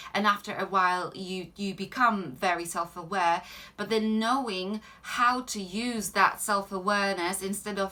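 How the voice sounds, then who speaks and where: With a Polish accent, a woman speaks at a moderate pace in a bright, sharp tone, with medium pitch and fairly even intonation. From Poland. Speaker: life coach. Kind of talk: Q&A answers to viewers. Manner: hesitant, many filler ums.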